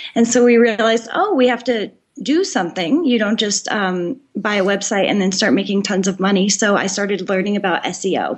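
Using an unremarkable speaking voice, a woman with medium pitch and ordinary pitch variation talks at a moderate pace with hardly any pauses. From Colorado, US. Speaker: marketing director. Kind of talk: interview.

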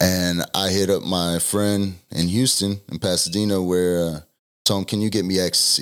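This man has a Texan accent and a very deep, low pitch. His intonation stays fairly even at a moderate pace. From Texas (Denton area). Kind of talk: testimony.

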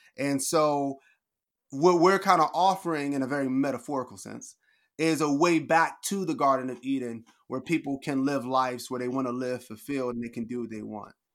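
A man speaks at a fairly quick pace in an ordinary speaking voice, his fairly high pitch varying in an ordinary way on a very clean recording with a silent background. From New Jersey. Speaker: author and entrepreneur, former teacher. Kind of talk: interview.

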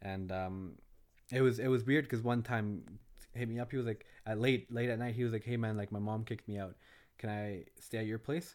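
On a very clean recording with a silent background, a man uses a normal speaking voice, medium in pitch, at a moderate pace with ordinary pitch variation. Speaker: food industry worker and gardener. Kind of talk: casual chat.

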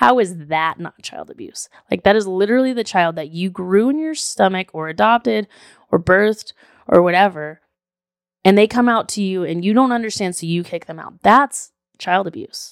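In a very clean recording with a silent background and a dry, close sound with no echo, a woman with a Texan accent speaks at a medium pitch and moderate pace, her tone animated, her intonation lively and her loudness swinging widely. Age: 30s. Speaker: podcast host. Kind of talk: casual chat. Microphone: new microphone.

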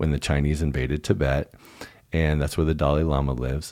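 Very deep and low, a man's voice has a dark, mellow tone and monotone, flat intonation on a very clean recording with a silent background. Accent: American. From Dallas, Texas. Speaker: yoga teacher. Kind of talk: casual chat.

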